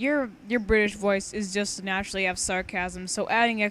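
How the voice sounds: This is a natural reading voice. It reads aloud without any special delivery.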